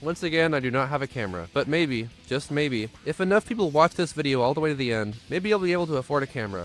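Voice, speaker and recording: Over music in the background, a man with a fairly high voice speaks at a very fast pace with lively intonation. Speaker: music reviewer. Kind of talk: album review monologue. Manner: lispy.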